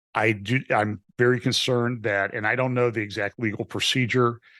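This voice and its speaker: A man with an ordinary speaking voice, medium pitch and fairly even intonation, at a moderate pace against a quiet background. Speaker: pastor. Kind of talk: political interview.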